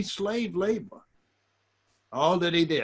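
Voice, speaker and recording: In an American accent, a man speaks at a moderate pace with a high pitch and a bright, sharp tone. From US South. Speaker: community elder and speaker. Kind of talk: conversational interview reflection. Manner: halting.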